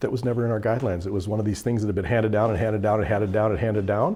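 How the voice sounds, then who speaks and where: A man speaks with fairly low pitch. His pitch varies in an ordinary way. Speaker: EMS instructor; EMS trainer. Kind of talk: training lecture; lecture. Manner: fast. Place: classroom.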